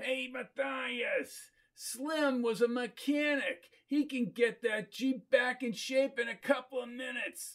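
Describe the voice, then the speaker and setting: This man's voice sits extremely high, moving at a fairly slow pace with fairly even intonation. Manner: barking, pushy.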